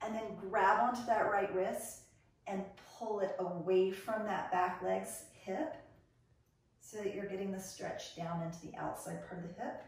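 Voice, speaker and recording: A woman speaks at a fairly slow pace. Strong room echo surrounds her voice. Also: ordinary pitch variation. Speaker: fitness instructor. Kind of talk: exercise instruction. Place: home room. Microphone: camera far.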